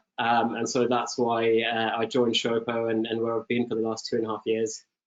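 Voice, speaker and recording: With a British accent, a man talks fairly quickly at a medium pitch. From UK. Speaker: e-commerce product lead. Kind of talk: webinar panel interview.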